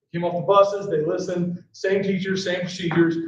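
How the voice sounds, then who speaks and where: A loud man at high pitch, talking at a very fast pace amid audible room echo. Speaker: school principal. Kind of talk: board meeting report. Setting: school board meeting, no microphone. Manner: casual, filler-heavy. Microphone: speaking without microphone.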